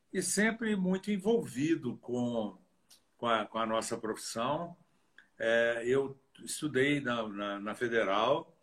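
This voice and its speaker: A man speaks at a medium pitch. His pitch varies an ordinary amount. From Brazil, Minas Gerais (Diamantina). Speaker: dentist and professor. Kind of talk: interview in a live stream.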